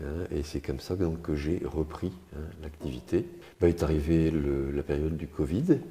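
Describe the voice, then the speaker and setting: This man has a very deep, low pitch and a dark, mellow tone with vocal fry. He speaks at a fairly slow pace with fairly even intonation. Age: 70s. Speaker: retiree, gym client. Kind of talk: testimony interview. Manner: halting, many hesitations.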